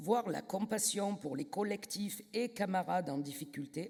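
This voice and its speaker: The speaker talks at a fairly slow pace with a southern French accent. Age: 60s. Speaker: trade union delegate. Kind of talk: congress speech. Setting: stage with audience, microphone.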